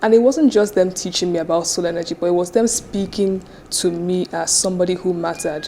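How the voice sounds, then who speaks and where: Over noticeable background noise, a woman with a Nigerian accent speaks at a very fast pace, medium in pitch with fairly even intonation. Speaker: business founder and CEO. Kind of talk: interview.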